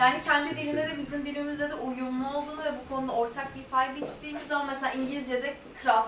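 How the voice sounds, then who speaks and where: Very fast and high-pitched, a woman speaks amid noticeable background noise and audible room echo. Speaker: interpreter. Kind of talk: consecutive interpreting.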